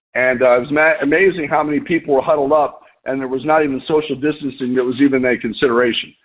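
Talking at a fairly quick pace, a man uses a plain, everyday voice with a fairly high pitch. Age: 50s. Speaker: business leader hosting a weekly conference call. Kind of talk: unscripted motivational business talk. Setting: phone conference call.

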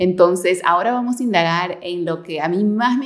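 A woman speaks at a moderate pace in a fairly low pitch with ordinary pitch variation. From Peru. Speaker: podcast host. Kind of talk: interview.

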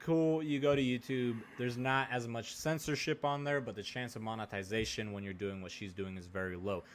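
A man with a plain, everyday voice and an American accent, medium in pitch with ordinary pitch variation, at a fairly quick pace with hardly any pauses. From US West Coast, rural Oregon. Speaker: podcast co-host. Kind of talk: casual chat.

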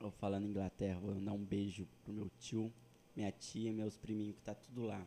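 A man's fairly low voice with a dark, mellow tone at a moderate pace. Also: fairly even intonation. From interior of São Paulo state, Brazil. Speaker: podcast host. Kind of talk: casual chat.

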